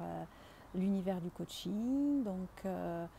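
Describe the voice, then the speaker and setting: A woman's medium-pitched voice, dark and mellow, somewhat breathy. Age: 40s. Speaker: engineer and project manager retraining as coach. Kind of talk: client testimonial. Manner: hesitant, many filler words.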